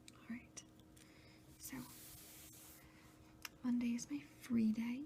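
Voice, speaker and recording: Very slow, soft-spoken speech. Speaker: ASMR video creator, research assistant. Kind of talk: ASMR planner walkthrough, soft-spoken talk to camera. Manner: soft-spoken, quiet, relaxing.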